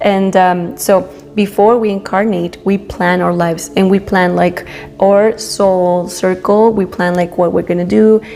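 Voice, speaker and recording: Over background music, a woman with a Spanish accent speaks fairly slowly at a medium pitch, with fairly even intonation and very even loudness. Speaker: spiritual youtuber. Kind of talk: casual monologue. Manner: halting, many fillers.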